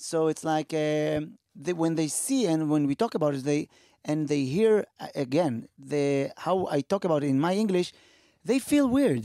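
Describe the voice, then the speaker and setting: A man with an Israeli accent, fairly high pitch, a dark, mellow tone, lively intonation and a moderate pace, in a dry, close sound with no echo. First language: Hebrew. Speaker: comedian, podcast co-host. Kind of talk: casual chat.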